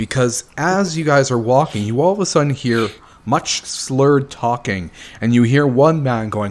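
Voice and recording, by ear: A natural voice reading aloud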